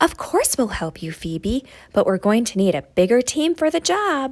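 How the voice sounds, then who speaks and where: In a put-on character voice, a female-sounding voice with a high pitch swings very widely in pitch at a moderate pace, in a very clean recording with a silent background. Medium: read story.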